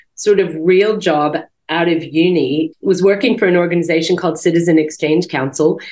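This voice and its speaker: An ordinary speaking voice: a woman's fairly low pitch at a moderate pace, with ordinary pitch variation. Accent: American. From US, Montana. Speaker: company director. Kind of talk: interview.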